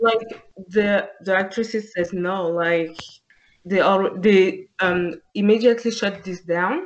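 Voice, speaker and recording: A woman's very slow speech in a French accent, medium in pitch, with fairly even intonation. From France. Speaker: podcast co-host. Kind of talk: casual chat.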